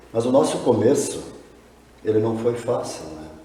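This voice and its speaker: A man's medium-pitched voice comes with noticeable background noise and audible room echo. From southern Brazil, rural. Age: 60s. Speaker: poultry farmer. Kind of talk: interview.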